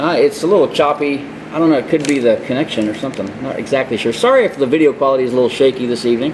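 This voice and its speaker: Very fast and fairly high-pitched, a man with an American accent speaks with ordinary pitch variation over noticeable background noise. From Michigan and Houston. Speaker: web show host. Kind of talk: casual chat. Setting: shop studio, live webcast. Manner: animated. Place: garage.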